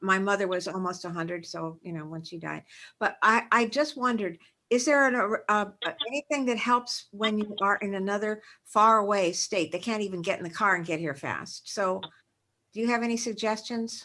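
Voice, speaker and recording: A woman's bright, sharp voice at a medium pitch, moderate pace and ordinary pitch variation, with a quiet background. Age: 70s. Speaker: webinar attendee. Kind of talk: audience question. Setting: video call.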